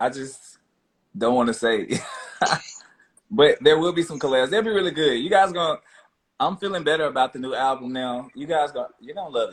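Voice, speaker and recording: Talking fairly quickly but with long, frequent pauses, a man with a Memphis accent uses a fairly high pitch, lively intonation and big swings in loudness. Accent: Southern US (Memphis). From US South, Memphis. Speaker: R&B singer. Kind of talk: casual interview. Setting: Instagram live video call.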